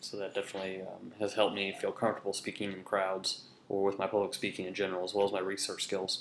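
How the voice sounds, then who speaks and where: This man speaks with an American accent. His pitch is fairly low. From Kansas, US Midwest (Hutchinson). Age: 20s. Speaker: soldier and student. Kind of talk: class introduction speech. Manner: many filler words (um, uh).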